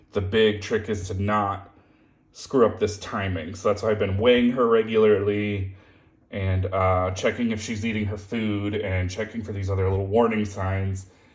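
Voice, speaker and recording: A man's fairly low, monotone, flat voice at a moderate pace, with audible room echo. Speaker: beetle keeper. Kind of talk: casual vlog. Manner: halting.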